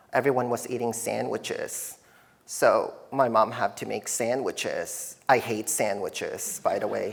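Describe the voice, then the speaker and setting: A slight Filipino accent at a fairly slow pace. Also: man. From Philippines, moved to Canada at nine. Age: 30s. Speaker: artist. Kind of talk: artist talk. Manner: hesitant, many fillers.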